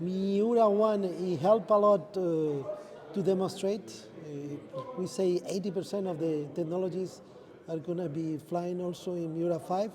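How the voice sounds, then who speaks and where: Speech at a moderate pace with fairly even intonation comes through audible room echo and noticeable background noise. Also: man, high pitch for a man. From Spain. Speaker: space industry executive. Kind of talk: interview. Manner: halting.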